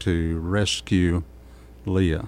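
With a Texas accent, a man speaks very slowly in a very deep, low pitch. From Texas, Kerrville. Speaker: pastor, former sheriff's sergeant. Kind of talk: radio interview.

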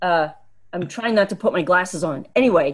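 In an American accent, a woman with a fairly low pitch and ordinary pitch variation talks at a fairly quick pace in a normal speaking voice. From Pennsylvania, Poconos. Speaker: podcast panelist, storyteller. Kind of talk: storytelling. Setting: video call.

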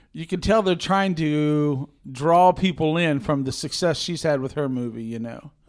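In a normal speaking voice, a man talks at a fairly high pitch with ordinary pitch variation and hardly any pauses. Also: moderate pace. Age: 40s. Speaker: film podcast host. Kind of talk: casual chat.

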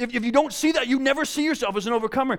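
Pitch variation in this man's speech is ordinary. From Canadian Prairies, south of Winnipeg, Manitoba. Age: 30s. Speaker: youth pastor. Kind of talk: sermon. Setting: church. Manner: halting, many repeated words.

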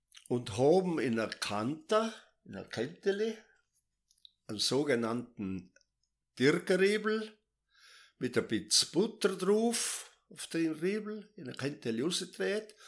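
Speaking very slowly with long, frequent pauses, a man uses a high voice that moves in very wide pitch swings. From South Tyrol. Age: 80s+. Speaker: retired farmer. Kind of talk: life story interview.

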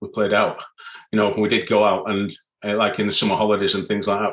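Here a man speaks with a Yorkshire accent. His pitch is fairly low and his pace fairly quick. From northern England, Leeds. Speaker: mountain leader and climbing instructor. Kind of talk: casual interview, personal story.

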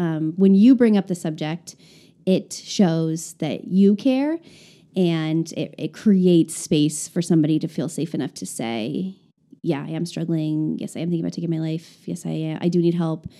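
In an unremarkable speaking voice, a woman talks with an American accent at a moderate pace, fairly low in pitch with ordinary pitch variation. The recording is very clean, with a silent background. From rural Nebraska, US Midwest. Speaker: church planter. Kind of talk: casual interview about mental illness.

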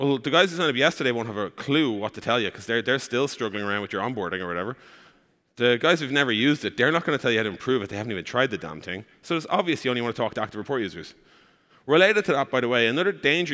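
A man talks at a very fast pace with an Irish accent. His intonation is lively. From Ireland. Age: 30s. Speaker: startup co-founder. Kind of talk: conference talk.

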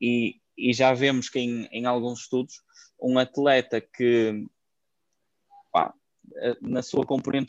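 A man with a European Portuguese accent talks at medium pitch in a monotone, flat intonation. He goes at a fairly slow pace, and the sound is dry and close with no echo. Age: 20s. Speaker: fitness coach. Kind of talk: interview.

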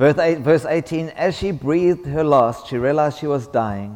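Pitch moves in an ordinary way here. The speaker is a man. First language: English (speaking French). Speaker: visiting preacher. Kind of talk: sermon. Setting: church.

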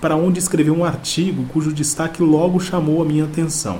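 A man with a fairly high pitch talks at a fairly quick pace. Audible room echo and noticeable background noise surround his voice. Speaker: podcast host. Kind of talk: scripted narration. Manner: formal.

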